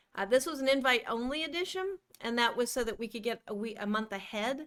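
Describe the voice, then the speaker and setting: A woman speaks with a slight Midwestern accent at a high pitch. Her pitch varies in an ordinary way. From US Midwest. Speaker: podcast co-host. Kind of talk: casual chat.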